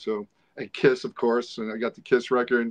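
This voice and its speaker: A man talks with a New York accent and fairly even intonation. The sound is dry and close, with no echo. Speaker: rock guitarist. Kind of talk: interview.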